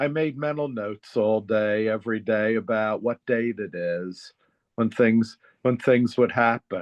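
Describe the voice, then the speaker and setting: A man with an American accent uses a normal speaking voice at medium pitch with ordinary pitch variation. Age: 60s. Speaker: therapist and author. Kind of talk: interview conversation.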